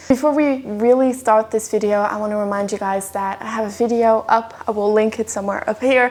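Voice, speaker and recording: Over noticeable background noise, a woman with a Dutch accent speaks at a moderate pace and a fairly high pitch, with ordinary pitch variation. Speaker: yoga teacher. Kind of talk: scripted voiceover; guided yoga class.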